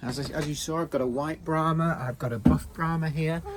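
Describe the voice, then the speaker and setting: Over noticeable background noise, a man with a British accent and a fairly high pitch speaks at a moderate pace. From Britain. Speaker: backyard chicken keeper. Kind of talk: casual tutorial video. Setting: outdoors in backyard. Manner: halting, many fillers.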